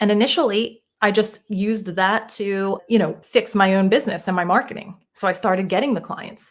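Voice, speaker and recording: A woman speaks with a Philadelphia accent in a very clean recording with a silent background. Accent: Jersey Philly. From US Northeast, Northeast Philadelphia. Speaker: mindset coach. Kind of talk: podcast interview.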